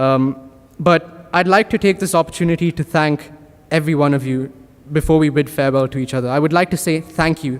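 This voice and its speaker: A man talks at a moderate pace in a plain, everyday voice. His pitch sits fairly high, with ordinary pitch variation. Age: young. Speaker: valedictorian student. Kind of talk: graduation speech. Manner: formal.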